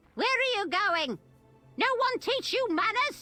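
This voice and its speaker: A woman uses a put-on character voice at an extremely high pitch with very wide pitch swings. She goes at a fairly slow pace while faint music plays in the background. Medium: video game. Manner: gossipy, sly.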